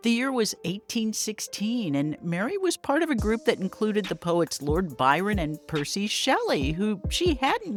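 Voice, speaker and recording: A woman speaks at a fairly slow pace in a fairly high voice, her pitch swinging very widely. Music plays in the background. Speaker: author and paranormal expert. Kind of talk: history narration to camera.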